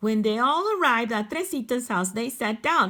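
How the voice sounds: Lively intonation in a natural reading voice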